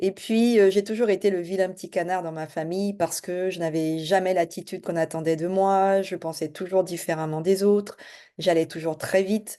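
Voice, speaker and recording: Over a quiet background, a woman talks at a moderate pace in a dark, mellow tone. Her pitch is medium and her intonation fairly even. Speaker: life and business coach. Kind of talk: self-introduction video. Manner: hesitant, many fillers.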